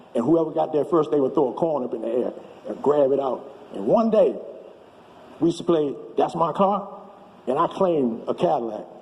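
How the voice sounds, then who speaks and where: A man with a fairly high pitch uses lively intonation and takes long, frequent pauses. Noticeable background noise is present. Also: fairly quick pace. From Washington, D.C. area (Maryland). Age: 70s. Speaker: storyteller. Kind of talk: testimony.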